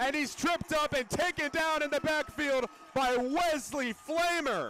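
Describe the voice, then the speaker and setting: The voice moves at a fairly slow pace against noticeable background noise. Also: man. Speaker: football play-by-play announcer. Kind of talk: football play-by-play broadcast commentary.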